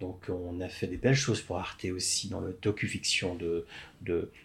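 A man speaks in a fairly low pitch at a fairly slow pace, sounding somewhat breathy. The recording is very clean, with a silent background. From Quebec, Montreal. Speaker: film script supervisor. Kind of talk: casual interview. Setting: coworking space.

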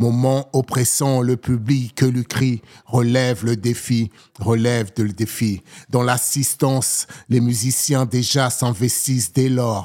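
Very slow male speech in a dry, close sound with no echo. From Togo, then Paris region from age 7. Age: 40s. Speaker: poet. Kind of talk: poetry performance. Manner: soft.

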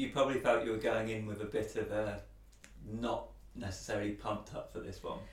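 Noticeable background noise runs under a man who speaks at a fairly quick pace. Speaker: podcast host. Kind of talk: casual interview chat.

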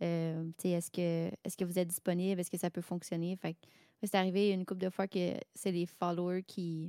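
A woman with a Quebec accent speaks at a moderate pace in a fairly low pitch, her dark, mellow tone delivered with monotone, flat intonation. The recording is very clean with a silent background, and the sound is dry and close with no echo. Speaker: hobby singer and music streamer. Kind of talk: casual chat.

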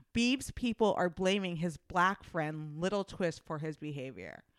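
Dry and close with no echo, a woman talks at a moderate pace and medium pitch, with ordinary pitch variation and a strong Midwestern US accent. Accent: Midwestern US, thick. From US Midwest. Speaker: podcast host. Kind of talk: casual banter podcast chat. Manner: teasing, playful.

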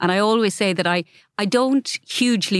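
A woman speaks with an Irish Midlands accent and ordinary pitch variation. The recording is very clean, with a silent background and a dry, close sound with no echo. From Ireland, County Laois. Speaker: novelist, former lawyer. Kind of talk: interview conversation.

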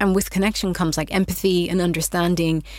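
A woman with a fairly low pitch speaks with vocal fry and fairly even intonation. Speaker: digital media strategist and wellness coach. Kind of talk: podcast interview. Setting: studio.

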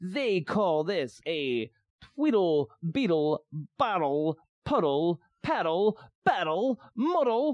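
In a dry, close sound with no echo, a man with a high pitch speaks at a very slow pace, with very wide pitch swings and long, frequent pauses. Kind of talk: casual banter, tongue twister reading. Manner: animated, joking, laughing.

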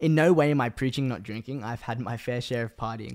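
Here is a man with an Australian accent. He talks at a fairly quick pace. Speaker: podcast host and videographer. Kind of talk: casual solo monologue. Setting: home room.

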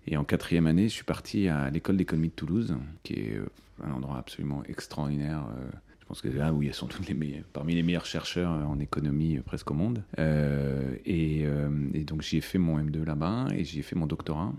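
Over noticeable background noise, a man talks with a very deep, low pitch and ordinary pitch variation. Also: moderate pace. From France (Paris), early childhood in India. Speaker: business school dean. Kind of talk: interview. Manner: hesitant, many fillers.

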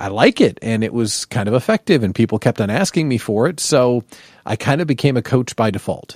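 Captured dry and close with no echo, a man's medium-pitched voice moves at a fairly quick pace with ordinary pitch variation. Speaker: business coach, former radio host. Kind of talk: interview, casual chat.

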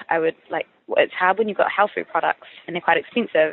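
Speaking very fast with a New Zealand accent, a woman keeps a medium pitch and ordinary pitch variation. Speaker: food startup founder. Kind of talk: interview.

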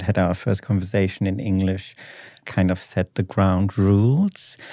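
With a German accent, a man speaks in a fairly low, dark, mellow voice and fairly even intonation, the sound dry and close with no echo over a quiet background. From Germany, Ruhr area. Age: 20s. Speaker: PhD student, podcast guest. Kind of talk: casual interview chat. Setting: studio.

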